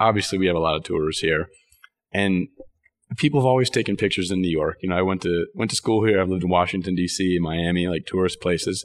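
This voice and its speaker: A very fast-talking man with a very deep, low voice, an American accent and ordinary pitch variation. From Texas (Dallas). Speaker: marketing manager at a tech company. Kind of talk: interview conversation. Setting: company office. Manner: hesitant, many fillers.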